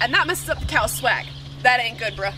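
Noticeable background noise can be heard behind a woman's voice. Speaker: presenter. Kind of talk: tutorial. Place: farm machine.

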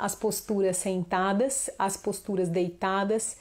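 A woman with an animated tone. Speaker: children's yoga teacher. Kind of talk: online class / live talk. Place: home room. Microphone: lapel.

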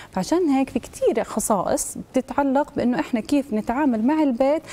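A woman speaks at a moderate pace. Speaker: guest. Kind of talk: interview answer. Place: studio.

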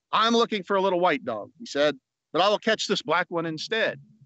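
Against a quiet background, a man talks at a fairly quick pace in a high pitch with ordinary pitch variation, the sound dry with no echo. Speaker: guest reader. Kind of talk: reading aloud a children's story, bedtime story style. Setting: outdoors at an amphitheater, video. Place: open country. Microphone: phone near.

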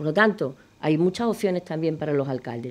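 Moving at a moderate pace, a woman has an unremarkable speaking voice. Her intonation is lively. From Extremadura, Spain. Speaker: politician. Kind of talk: political debate. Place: studio. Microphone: studio mic.

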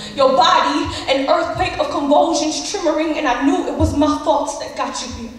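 A woman speaks at a high pitch in an intense tone, with fairly even intonation and hardly any pauses. Strong room echo and light background noise fill the recording. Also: moderate pace. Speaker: slam poet. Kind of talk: slam poetry performance. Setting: live stage. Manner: emotional, intense. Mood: intense, emotional, grieving. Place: stage.

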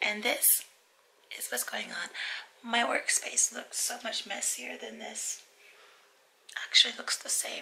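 A woman with an American accent whispers at a fairly slow pace, with long, frequent pauses and big swings in loudness. Noticeable background noise is present. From United States. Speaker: vlogger. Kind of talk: casual vlog talk. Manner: short of breath.

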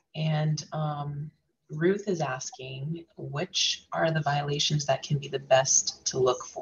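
The speech moves at a very slow pace. Light background noise sits underneath it. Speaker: customer support staff; webinar host or moderator relaying questions. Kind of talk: webinar Q&A moderation. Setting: video call. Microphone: video call.

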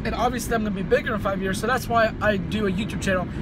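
Dry, echo-free speech from a man, with background noise clearly audible. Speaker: fitness vlogger. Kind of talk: casual vlog chat. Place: car. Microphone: phone near.

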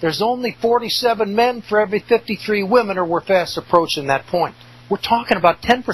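A man with a high voice speaks fairly quickly, his pitch varying an ordinary amount. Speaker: radio host. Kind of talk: angry rant. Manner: indignant, emphatic; sarcastic, scornful.

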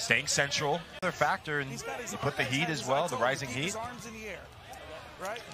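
A man's fairly high, relaxed voice at a fairly quick pace, with lively intonation, long, frequent pauses and noticeable background noise. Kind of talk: live color commentary, analysis. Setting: tournament match broadcast, outdoors. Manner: relaxed, chatty, laughing, conversational analyst.

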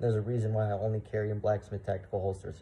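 Speaking at a very fast pace, a man uses a fairly low pitch and a dark, mellow tone that is somewhat breathy, with monotone, flat intonation. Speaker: firearms channel host. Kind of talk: product review. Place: home room. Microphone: phone near.

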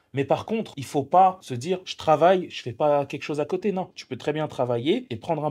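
A man's somewhat breathy voice at a fairly quick pace, with lively intonation. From France, Swiss border area; France. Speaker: entrepreneur; interviewee. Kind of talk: casual chat; interview answer. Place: cafe. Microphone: handheld.

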